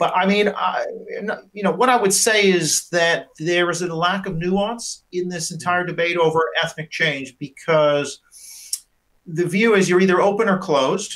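Speaking at a fairly slow pace, a man talks in a high pitch. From Canada. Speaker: professor of politics. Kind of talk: panel discussion.

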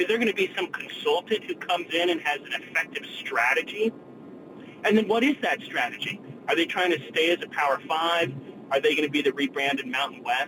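Speaking at a high pitch, a man talks fairly quickly amid noticeable background noise. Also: lively intonation. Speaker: caller. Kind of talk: casual call-in. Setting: phone call, in a car.

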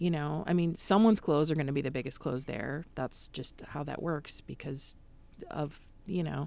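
A woman's very deep, low voice with a dark, mellow tone, ordinary pitch variation and an Upper Midwest accent. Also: moderate pace. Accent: Upper Midwest American. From US Midwest, Madison, Wisconsin. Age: 30s. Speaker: improv comedian and fat activist. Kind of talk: casual interview. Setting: studio.

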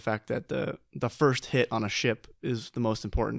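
A man speaks at a medium pitch with vocal fry. The recording is very clean, with a silent background and a dry, close sound with no echo. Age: 20s. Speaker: board game podcast co-host. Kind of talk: casual chat. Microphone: new microphone.

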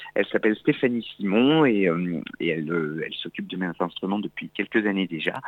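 Fairly low-pitched, a man talks at a fairly quick pace with hardly any pauses. His intonation is lively. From France, Auvergne. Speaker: accordionist. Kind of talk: radio interview. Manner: hesitant, with fillers and repetitions.

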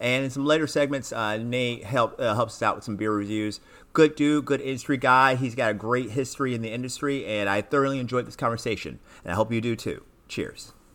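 A man with a plain, everyday voice, medium pitch, fairly even intonation and a fairly quick pace, in a very clean recording with a silent background. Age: 40s. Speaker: podcast host. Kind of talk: casual interview.

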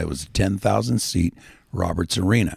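A man's very deep, low voice with vocal fry, a fairly quick pace, and ordinary pitch variation. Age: 60s. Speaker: radio DJ and rock musician. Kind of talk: casual interview.

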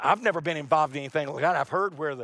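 A man with an American accent, recorded dry and close with no echo. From US South, North Carolina. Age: 60s. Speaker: pastor. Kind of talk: sermon. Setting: church.

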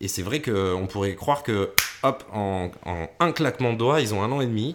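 Fairly low in pitch, this man has a normal speaking voice with lively intonation. The recording is very clean, with a silent background. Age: 30s. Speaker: podcast co-host and radio presenter. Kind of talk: casual chat.

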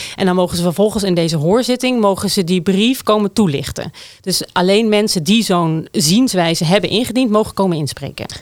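A woman speaks at a medium pitch with ordinary pitch variation and hardly any pauses. Hers is an unremarkable speaking voice. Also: fairly quick pace. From Netherlands, Groningen province (small village). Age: 40s. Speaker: city councillor, former urban planner. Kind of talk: political discussion.

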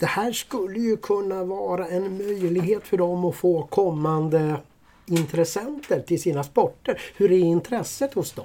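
A man speaks fairly slowly at a high pitch, with a dark, mellow tone and ordinary pitch variation. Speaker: podcast co-host. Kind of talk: casual chat.

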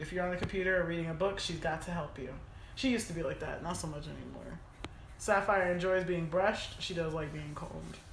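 Through noticeable background noise, a woman talks at a very fast pace with a fairly low pitch and fairly even intonation. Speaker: podcast co-host. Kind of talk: casual chat.

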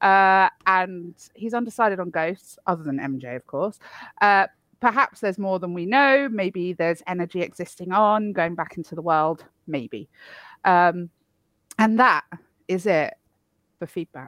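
In a very clean recording with a silent background, a woman with a British accent speaks with lively intonation and long, frequent pauses, the sound dry and close with no echo. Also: medium pitch for a woman. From Poland. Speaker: podcast co-host. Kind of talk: casual chat.

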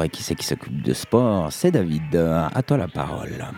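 Speaking at a fairly slow pace, a man with a very deep, low pitch makes very wide pitch swings. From French-speaking Switzerland (Morges). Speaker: radio host and sound engineer. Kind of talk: radio show hosting. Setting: studio.

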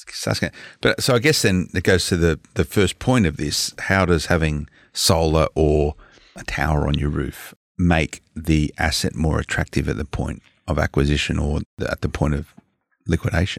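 Moderate pace in an Australian accent, with ordinary pitch variation, big swings in loudness, and a dry, close sound with no echo. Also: man, very deep, low pitch for a man. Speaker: podcast co-host. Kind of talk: casual chat.

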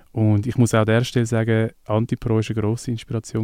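A man speaks very fast in a Swiss accent. His tone is dark and mellow, with flat, monotone intonation. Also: dry, close sound with no echo. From Switzerland. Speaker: musician. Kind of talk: casual interview.

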